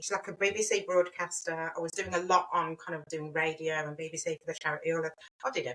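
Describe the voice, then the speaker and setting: A woman in a Birmingham accent talks at a very fast pace with ordinary pitch variation. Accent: Birmingham (Brummie). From Birmingham, England. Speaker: brand and web designer, business owner. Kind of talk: podcast interview. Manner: animated.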